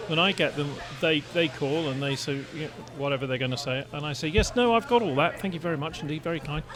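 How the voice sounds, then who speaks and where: A man's fairly high voice at a very fast pace, amid noticeable background noise. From England. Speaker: podcast panelist. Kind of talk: casual chat.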